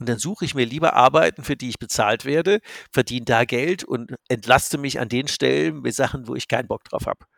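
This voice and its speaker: On a very clean recording with a silent background and a dry, close sound with no echo, a man of medium pitch speaks at a fairly quick pace with lively intonation and vocal fry. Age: 60s. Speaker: business coach. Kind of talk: casual chat.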